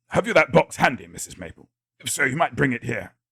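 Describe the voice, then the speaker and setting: A man performs a raspy, put-on character voice. He talks at a very fast pace. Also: medium pitch for a man. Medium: read story.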